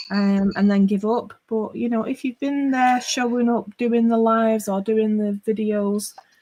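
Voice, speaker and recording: A woman speaks at a moderate pace in a dark, mellow tone that is somewhat breathy and fairly high in pitch. Her intonation is fairly even, and the sound is dry and close with no echo. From northwest England, near Liverpool. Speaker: online craft video creator. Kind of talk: casual chat.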